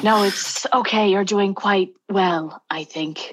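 A raspy, put-on character voice from a woman at medium pitch, delivered at a fairly slow pace. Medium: actual play. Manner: prim, dry.

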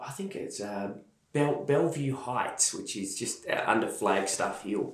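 Recorded with audible room echo, a man with an Australian accent speaks in big swings of loudness. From Australia, Melbourne. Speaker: church leader. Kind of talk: interview testimony.

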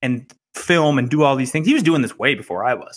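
A man with a fairly high pitch and an unremarkable speaking voice. He talks at a moderate pace with ordinary pitch variation. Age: 30s. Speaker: entrepreneur. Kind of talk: casual chat.

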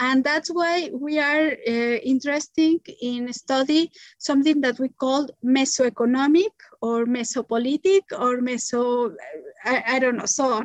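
With a Spanish accent and a high pitch, a woman speaks at a fairly slow pace with ordinary pitch variation, recorded in a dry, close sound with no echo. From Mexico City. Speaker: economist and community currency promoter. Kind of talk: interview. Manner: halting.

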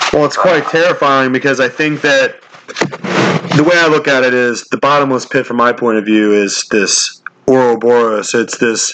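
Noticeable background noise sits under a man's medium-pitched voice. He keeps a moderate pace, ordinary pitch variation and very even loudness. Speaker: podcast host. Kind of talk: casual chat. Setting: phone call. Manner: halting.

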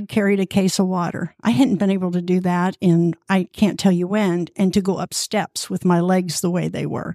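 Speaking at a moderate pace in a plain, everyday voice, a woman keeps a medium pitch and fairly even intonation, recorded dry and close with no echo on a very clean track with a silent background. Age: 60s. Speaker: fitness group member. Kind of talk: interview.

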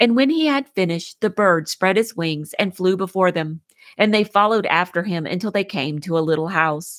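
With an unremarkable speaking voice, a woman speaks at a moderate pace and medium pitch with lively intonation, in a dry, close sound with no echo on a very clean recording with a silent background. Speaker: podcast host. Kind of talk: fairy-tale narration, read aloud to children. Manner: storyteller pace, gentle, even.

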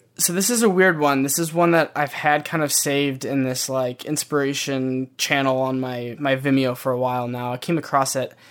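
A man with an American accent and a fairly high pitch, at a moderate pace with ordinary pitch variation. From US Midwest, Michigan. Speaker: motion designer. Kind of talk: casual interview. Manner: halting, many fillers and repeats.

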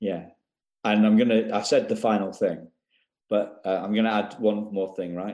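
A man's fairly low, monotone voice with a British accent, flat in intonation and at a moderate pace. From UK. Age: 50s. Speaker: coach for adoptees. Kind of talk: interview.

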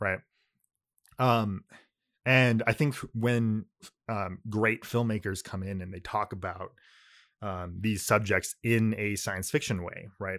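A man with a fairly low voice talks at a very slow pace, leaving long, frequent pauses, with big swings in loudness and fairly even intonation. The recording is very clean, with a silent background. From California, US. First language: Japanese. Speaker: podcast co-host. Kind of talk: casual chat.

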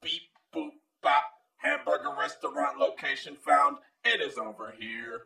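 A put-on character voice moves at a moderate pace, broken by long, frequent pauses.

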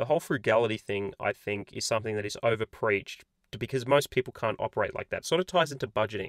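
Speaking very fast at a medium pitch, a man with an Australian accent is captured in a dry, close sound with no echo. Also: ordinary pitch variation. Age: 20s. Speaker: personal finance YouTuber. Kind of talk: casual vlog monologue. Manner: casual, filler-heavy.

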